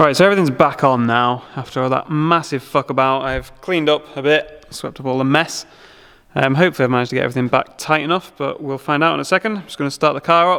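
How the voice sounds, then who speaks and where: A man talks very fast with a bright, sharp tone, a fairly high pitch and an English accent. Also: ordinary pitch variation. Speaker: car-build YouTuber. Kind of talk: DIY garage vlog. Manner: shouting over engine noise.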